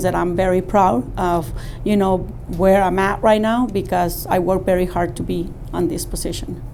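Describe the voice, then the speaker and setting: Against noticeable background noise and audible room echo, someone speaks at a moderate pace with a Spanish accent and fairly even intonation. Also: woman. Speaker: company employee. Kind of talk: interview testimony.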